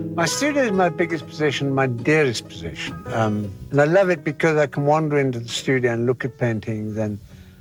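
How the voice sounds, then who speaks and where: At a fairly quick pace, a man with an unremarkable speaking voice talks with lively intonation. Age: 60s. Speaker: painter. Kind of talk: interview.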